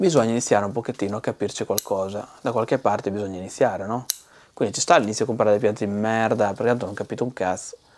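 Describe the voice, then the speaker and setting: A man's fairly low-pitched voice at a very fast pace. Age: 40s. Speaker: bonsai seller. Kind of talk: casual vlog rant. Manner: animated. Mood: blunt, joking, swears. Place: studio. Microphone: lapel.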